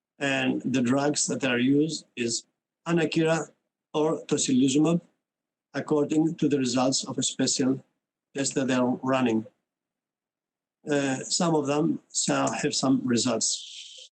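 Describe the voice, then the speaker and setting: Loudness stays very even while pitch varies in an ordinary way, broken up by long, frequent pauses. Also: man, fairly high pitch for a man. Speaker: physician presenting at medical webinar. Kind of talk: conference presentation. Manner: fast; hesitant, many fillers.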